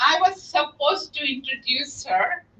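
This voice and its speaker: With a non-native accent, a woman speaks in a raised, projected voice at a fairly slow pace. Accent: noticeable foreign. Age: 60s. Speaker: campaign volunteer organizer. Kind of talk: rally speech. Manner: animated.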